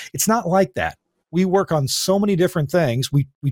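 Somewhat breathy, a man talks at a fairly quick pace with lively intonation in a dry, close sound with no echo and a very clean recording with a silent background. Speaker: radio tech show host. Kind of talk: casual chat. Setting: studio.

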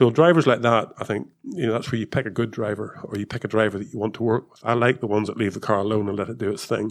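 Over a quiet background, a man with a Northern Irish accent speaks very fast at a medium pitch with fairly even intonation. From Northern Ireland. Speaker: former Formula 1 technical director. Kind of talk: casual chat.

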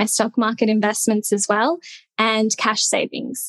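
A woman speaks at a moderate pace with a fairly high pitch and an Australian accent, the sound dry and close with no echo. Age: 20s. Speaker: content creator. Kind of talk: casual interview.

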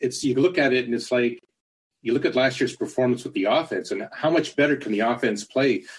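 A man of medium pitch talks at a fairly quick pace in an unremarkable speaking voice with ordinary pitch variation. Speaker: caller, football fan. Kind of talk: call-in question.

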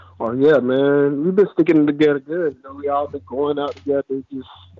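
In a normal speaking voice with an American accent, a man talks at a moderate pace, his pitch fairly high and his intonation fairly even. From Florida, Fort Lauderdale. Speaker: former college football player. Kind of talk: casual interview. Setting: phone call.

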